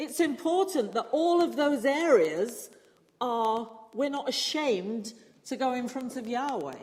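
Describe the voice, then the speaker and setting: Audible room echo surrounds a woman with a British accent. Her high pitch carries lively intonation. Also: fairly slow pace. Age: 60s. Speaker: preacher and church musician. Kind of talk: sermon.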